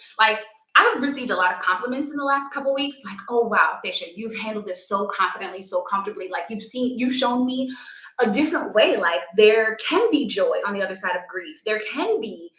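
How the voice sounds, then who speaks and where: A woman with a New York accent talks at a fairly quick pace in an animated tone, her fairly high pitch rising and falling with lively intonation amid noticeable background noise and audible room echo. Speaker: yoga instructor. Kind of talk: live stream talk.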